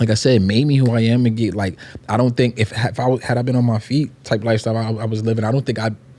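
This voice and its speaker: Against noticeable background noise, a man speaks very fast with flat, monotone intonation. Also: medium pitch for a man. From New York City (Queens). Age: 40s. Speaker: podcast co-host, wheelchair user, model. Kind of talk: casual chat.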